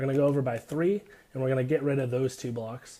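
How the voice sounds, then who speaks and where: With a dark, mellow tone and a medium pitch, a man speaks using fairly even intonation. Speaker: gaming tutorial youtuber. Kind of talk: tutorial.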